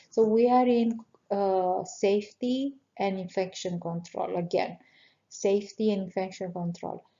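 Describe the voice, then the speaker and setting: At a fairly slow pace, a woman with a non-native accent speaks at medium pitch with fairly even intonation. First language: not English. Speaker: nurse educator. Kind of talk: exam review tutorial. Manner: halting, many fillers.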